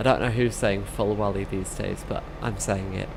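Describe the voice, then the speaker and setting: With audible room echo and noticeable background noise, a woman talks in fairly even intonation. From southern England (Reading). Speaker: gaming streamer. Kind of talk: live gameplay commentary. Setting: live stream. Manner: casual, chatty.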